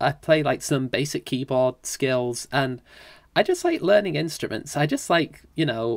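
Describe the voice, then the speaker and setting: Someone with a British accent talks at a fairly slow pace. The recording is very clean, with a silent background. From UK. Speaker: musician, podcast guest. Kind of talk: casual chat.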